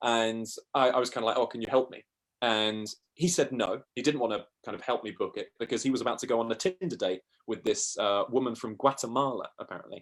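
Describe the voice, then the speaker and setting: Someone speaks very fast with a southern English accent and ordinary pitch variation. The recording is very clean, with a silent background. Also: man, medium pitch for a man. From South East England. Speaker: travel podcaster. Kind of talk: interview storytelling.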